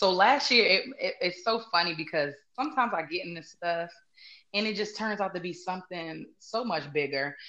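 With a bright, sharp tone, a woman speaks at a medium pitch and a moderate pace with lively intonation. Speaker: salon owner and stylist. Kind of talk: casual interview chat.

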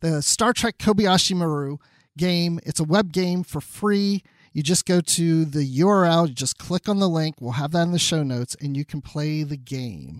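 A man with a normal speaking voice and fairly high pitch talks at a moderate pace with ordinary pitch variation. The recording is very clean, with a silent background. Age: 50s. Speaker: podcast host. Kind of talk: casual chat.

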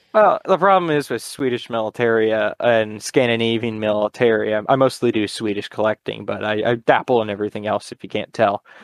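In a normal speaking voice with an American accent, a man of medium pitch talks at a fairly quick pace with hardly any pauses. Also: ordinary pitch variation. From Connecticut, US. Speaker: militaria collector. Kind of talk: casual chat.

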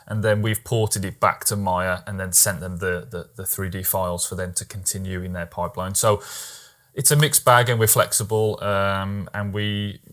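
A man with a British accent speaks at a moderate pace and a fairly low pitch. His intonation is fairly even. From Britain. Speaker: podcast host. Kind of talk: casual interview. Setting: video call.

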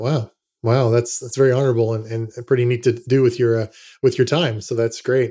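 A man with a dark, mellow, medium-pitched voice speaks fairly quickly in a flat monotone, in a very clean recording with a silent background. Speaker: podcast host. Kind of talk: interview.

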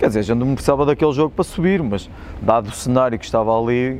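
Very fast speech from a man with ordinary pitch variation over noticeable background noise. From Portugal, Espinho. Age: 40s. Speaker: football club physio and former player. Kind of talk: casual interview chat. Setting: outdoors by old stadium ticket office.

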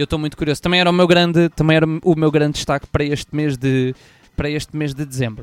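A man with a European Portuguese accent speaks at a very fast pace, his pitch fairly high and his intonation fairly even. The sound is dry and close, with no echo. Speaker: podcast host. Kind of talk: casual chat.

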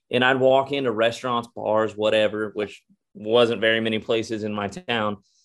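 A man speaks with fairly even intonation in a Texan accent. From Texas. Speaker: country singer. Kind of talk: casual chat.

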